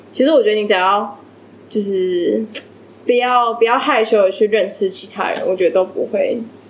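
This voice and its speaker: Noticeable background noise sits behind a woman who speaks at a moderate pace in a fairly high voice with fairly even intonation. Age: 20s. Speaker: English teacher. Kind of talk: casual chat.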